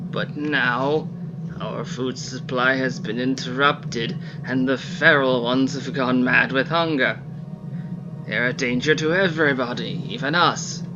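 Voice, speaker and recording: A man in a put-on character voice, raspy and fairly high-pitched, at a moderate pace against loud background noise. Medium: solo performance. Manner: formal, pleading.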